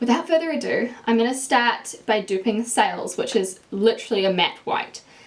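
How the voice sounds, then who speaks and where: Over noticeable background noise, a speaker with a strong New Zealand accent talks at a moderate pace with ordinary pitch variation. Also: woman. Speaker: beauty YouTuber. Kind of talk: makeup tutorial review. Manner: casual, chatty.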